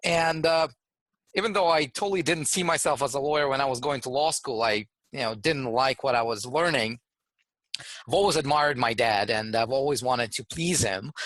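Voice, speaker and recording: A fairly quick, lively-intoned man with a fairly high pitch and a Russian accent. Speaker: trademark entrepreneur and lawyer. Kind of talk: interview. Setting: studio.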